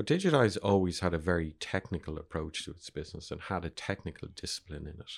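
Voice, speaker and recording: A man with an Irish accent talks at a very fast pace with hardly any pauses, in a very deep, low voice with ordinary pitch variation. His loudness swings widely in a very clean recording with a silent background. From Ireland. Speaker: media entrepreneur. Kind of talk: interview.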